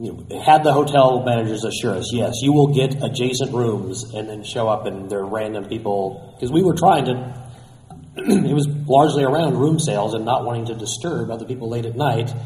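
A man speaks fairly quickly, his pitch varying in an ordinary way while noticeable noise fills the background. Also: medium pitch for a man. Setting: convention.

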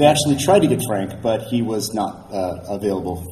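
A man with a fairly low voice speaks over noticeable background noise. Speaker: collector and historian. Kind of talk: casual chat.

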